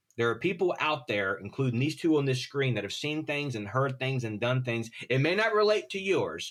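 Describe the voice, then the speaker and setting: Moving at a moderate pace with hardly any pauses, the voice makes very wide pitch swings. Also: man, medium pitch for a man. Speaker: retired firefighter. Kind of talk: podcast interview. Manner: stutter; animated.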